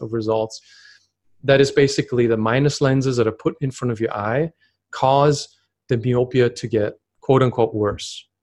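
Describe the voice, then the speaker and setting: A man with a non-native accent at medium pitch, moderate pace and fairly even intonation, against a quiet background. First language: not English. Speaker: myopia expert. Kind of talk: interview conversation.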